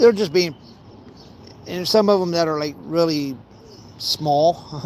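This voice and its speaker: With an American accent, a man talks at a very slow pace, his high pitch showing ordinary variation. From Ohio. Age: 40s. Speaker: fishing vlogger. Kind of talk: casual vlog chat while fishing. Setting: outdoors by a pond. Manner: halting, repeating himself.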